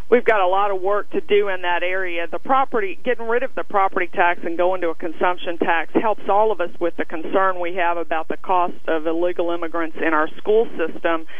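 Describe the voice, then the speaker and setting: The speech runs at a fairly quick pace with hardly any pauses, the sound dry with no echo and light background noise behind it. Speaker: candidate. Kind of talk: interview answer.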